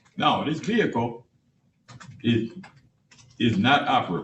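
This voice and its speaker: A man is speaking. His voice is somewhat breathy. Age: 80s+. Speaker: party in a court case. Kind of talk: court hearing testimony.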